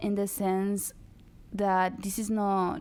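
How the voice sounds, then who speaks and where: A woman with a Spanish accent. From Dominican Republic. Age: 20s. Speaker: activist. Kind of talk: interview.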